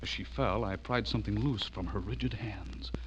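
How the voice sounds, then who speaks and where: This man speaks with vocal fry. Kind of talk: 1940s radio drama first-person narration. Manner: tense, suspenseful.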